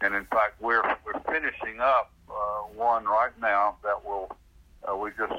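Slow-ish and unhurried, a man speaks at a fairly slow pace with a Southern US accent. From Central Florida. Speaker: public agency director. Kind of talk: interview.

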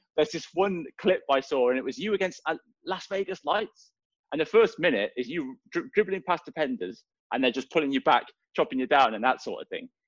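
Over a quiet background, a man with a Welsh accent and a high pitch makes very wide pitch swings, the sound dry and close with no echo. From Wales, Swansea. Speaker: soccer podcast co-host. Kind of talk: casual chat.

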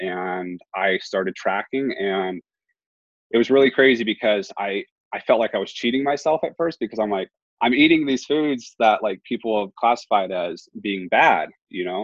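A man talks at a medium pitch and moderate pace in a plain, everyday voice. His intonation is lively. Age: 20s. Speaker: bodybuilding competitor. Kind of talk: casual chat.

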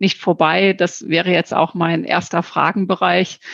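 Recorded dry and close with no echo, a woman speaks with fairly even intonation. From Lower Saxony. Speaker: podcast host, association director. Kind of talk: interview. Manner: hesitant with fillers.

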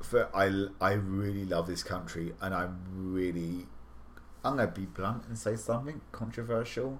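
Speaking with a British accent, a man with a fairly low, somewhat breathy voice keeps a moderate pace and ordinary pitch variation. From southern England. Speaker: podcast host and editor. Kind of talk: casual chat.

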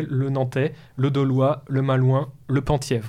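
A man talks at a fairly high pitch. Nothing else is heard in the quiet background. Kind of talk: educational talk. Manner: hesitant.

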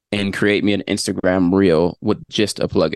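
Fairly low in pitch, a man talks fairly slowly in an unremarkable speaking voice, with a dry, close sound with no echo and a quiet background. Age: 30s. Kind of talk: casual chat; tutorial.

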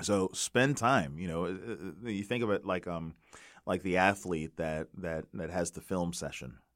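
The recording is very clean, with a silent background. The speaker is a man. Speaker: pastor and podcast co-host. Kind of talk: casual chat. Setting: studio. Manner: halting, many fillers and repetitions.

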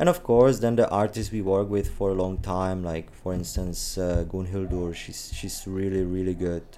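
A man's very deep, low voice in a Czech accent, moderate in pace, with hardly any pauses and fairly even intonation. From Czech Republic. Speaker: gallery owner. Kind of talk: interview.

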